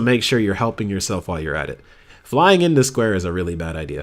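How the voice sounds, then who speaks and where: Very wide pitch swings run through this very clean recording with a silent background. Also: man. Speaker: gaming YouTuber reviewing gameplay. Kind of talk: gameplay commentary. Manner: fast; casual, with many fillers.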